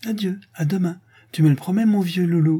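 A man puts on a character voice, high-pitched for a man, with fairly even intonation at a moderate pace. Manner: affectionate, coaxing.

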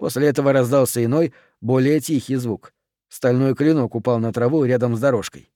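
Against a quiet background, the text is read aloud in a natural voice.

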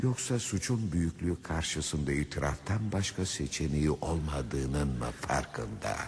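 A put-on character voice at a fairly slow pace, full of lively intonation. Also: man, extremely low pitch for a man.

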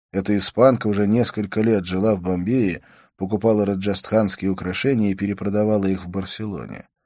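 The delivery is an unforced reading voice. Its intonation stays fairly even.

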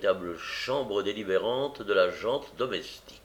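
This is a natural reading voice. The clip presents a natural reading voice throughout.

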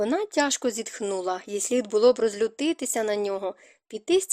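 Reading aloud in a natural voice, the speaker uses lively intonation.

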